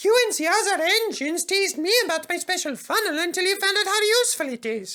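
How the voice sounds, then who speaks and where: In a put-on character voice, the speaker squeaks along at a very fast pace. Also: man, extremely high pitch for a man. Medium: read story. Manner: soothing.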